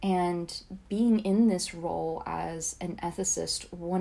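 Very slow delivery with an American accent and a dark, mellow tone. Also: woman. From US South, Georgia. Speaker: AI ethics practitioner. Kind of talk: casual interview conversation.

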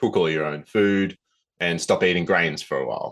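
A man with an Australian accent at a fairly quick pace, against a quiet background. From Australia, Southern Highlands NSW. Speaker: nature education director. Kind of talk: interview.

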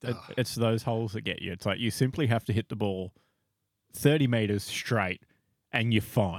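At a moderate pace, a man with an Australian accent speaks in a medium pitch with ordinary pitch variation, the sound dry and close with no echo on a very clean recording with a silent background. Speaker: podcast co-host. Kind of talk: casual chat.

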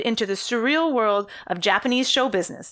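Bright and sharp in tone, a woman with a high pitch speaks at a moderate pace. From France. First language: French. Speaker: true crime podcast co-host. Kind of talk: storytelling, reading from sources.

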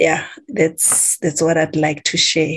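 Over noticeable background noise, a woman with a fairly low pitch talks at a very slow pace. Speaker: class participant. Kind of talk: group sharing. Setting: video call. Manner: halting.

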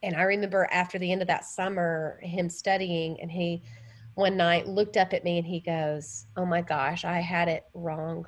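A woman with a Southern US accent speaks at a moderate pace in a fairly low pitch, her intonation fairly even. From US South. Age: 40s. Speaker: college minister. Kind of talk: interview. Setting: remote call.

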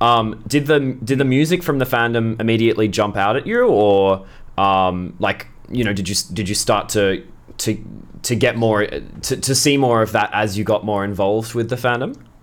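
A man with an Australian accent speaks at a moderate pace in a medium pitch. His pitch varies in an ordinary way, and the recording is very clean with a silent background. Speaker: podcast host. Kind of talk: interview, casual chat. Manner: halting.

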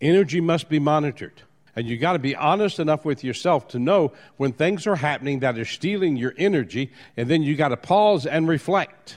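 A man with an American accent has an ordinary speaking voice and a fairly high pitch. He talks at a fairly quick pace with ordinary pitch variation. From New Orleans, US South. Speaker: motivational speaker. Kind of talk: motivational talk.

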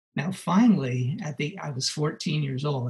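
With a Californian accent, a man speaks in a somewhat breathy voice with ordinary pitch variation. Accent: Californian American. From Los Angeles, US. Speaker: musician. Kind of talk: interview.

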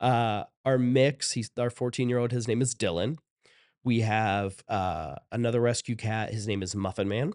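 A man at a medium pitch and moderate pace with an American accent, ordinary pitch variation, a dry, close sound with no echo and a quiet background. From Ohio, US Midwest. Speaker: creative manager and video producer. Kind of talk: casual interview chat.

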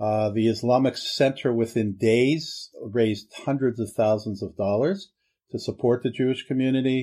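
Medium-pitched male voice, dark and mellow, with ordinary pitch variation at a moderate pace. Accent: American. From Pittsburgh, Pennsylvania. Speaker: rabbi. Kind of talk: interview testimony.

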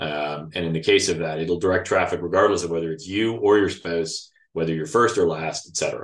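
Here a man speaks with a Canadian accent at a fairly quick pace. His pitch is very deep and low, with ordinary variation. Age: 50s. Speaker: financial advisor. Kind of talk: interview.

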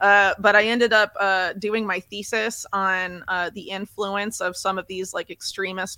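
A woman's bright, sharp, medium-pitched voice, monotone and flat at a moderate pace, dry and close with no echo on a very clean recording with a silent background. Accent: American. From United States. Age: 30s. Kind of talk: interview. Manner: halting, many fillers.

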